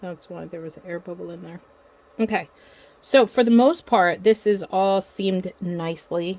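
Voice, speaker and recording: A soft-spoken woman at a medium pitch, with ordinary pitch variation, big swings in loudness and a moderate pace. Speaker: crafter. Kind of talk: tutorial.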